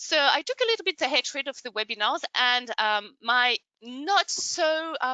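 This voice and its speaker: A woman speaks with a high pitch. Her voice makes very wide pitch swings. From France. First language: French. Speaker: online training consultant. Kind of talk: webinar presentation. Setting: online webinar.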